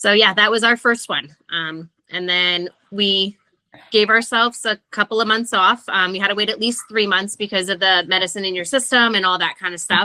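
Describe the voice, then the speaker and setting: A woman's medium-pitched, bright, sharp voice in a New Jersey accent, at a moderate pace with fairly even intonation and a dry, close sound with no echo. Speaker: podcast guest sharing pregnancy loss story. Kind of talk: casual interview conversation.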